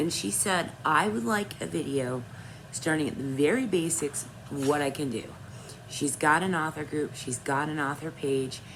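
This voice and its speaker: Moderate-paced speech from a woman with a very deep, low pitch, plus audible room echo. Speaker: author and vlogger. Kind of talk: casual vlog talk.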